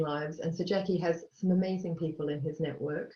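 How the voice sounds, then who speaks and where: The voice carries an Australian accent and is somewhat breathy. Its intonation stays fairly even. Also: woman. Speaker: charity chief executive. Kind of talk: webinar panel talk.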